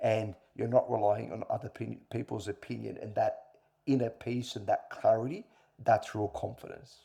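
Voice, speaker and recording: The delivery is at a moderate pace, with big swings in loudness. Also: man. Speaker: former corporate leader talking about men's mental health. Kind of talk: interview conversation.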